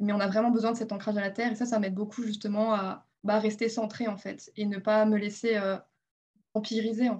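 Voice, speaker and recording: The speaker talks at a fairly quick pace in a flat monotone that is somewhat breathy. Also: woman, fairly high pitch for a woman. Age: 20s. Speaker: energy massage therapist. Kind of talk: interview.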